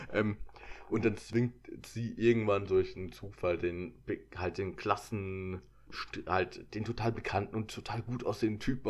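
A man speaks at a fairly slow pace, with long, frequent pauses. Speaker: podcast co-host. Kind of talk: casual chat. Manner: loud laugh.

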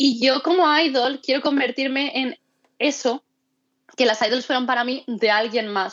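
This woman speaks with a high pitch and ordinary pitch variation. Her pace is moderate. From Mallorca, Spain. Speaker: amateur idol singer. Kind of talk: casual interview. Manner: talkative.

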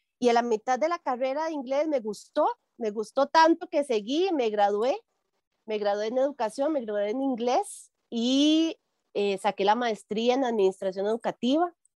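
A woman with a high pitch and lively intonation, moderate pace, quiet background. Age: 40s. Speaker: shop owner. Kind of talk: interview.

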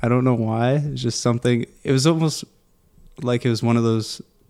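In a Canadian accent, a man speaks with a dark, mellow tone. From Durham Region, Ontario, Canada. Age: 20s. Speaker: barista and pop-up coffee co-owner. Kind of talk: casual interview chat. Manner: mumbles, casual.

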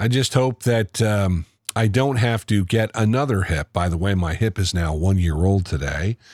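In an unremarkable speaking voice, a man with an American accent talks at a moderate pace with fairly low pitch, ordinary pitch variation and very even loudness. The recording is very clean, with a silent background. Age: 60s. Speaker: podcast host. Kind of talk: monologue commentary. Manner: conversational.

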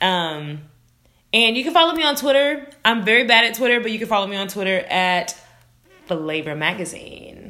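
A woman speaks loudly in an animated tone at a fairly high pitch. Her pitch swings very widely. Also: moderate pace. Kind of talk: casual chat. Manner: loud, animated.

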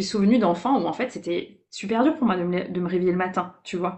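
A woman with an ordinary speaking voice talks at a fairly quick pace, at medium pitch with ordinary pitch variation. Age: 30s. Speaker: business coach. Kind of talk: casual interview.

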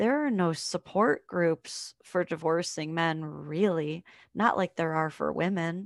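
A woman's animated, fairly low-pitched voice at a fairly slow pace, with ordinary pitch variation and a quiet background. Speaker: father's rights advocate. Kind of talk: casual interview chat. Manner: animated, laughs often.

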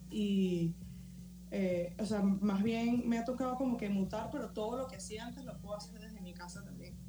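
A woman speaks with big swings in loudness. Music plays in the background, and audible room echo surrounds her. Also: moderate pace. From Valencia, Venezuela. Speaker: illustrator. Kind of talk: casual interview.

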